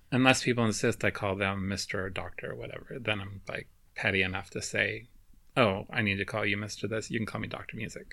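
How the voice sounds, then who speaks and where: A man with an American accent, fairly low pitch, vocal fry and a bright, sharp tone, at a very fast pace with fairly even intonation, in a very clean recording over a silent background. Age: 40s. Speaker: podcast co-host, mathematician. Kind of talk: casual chat.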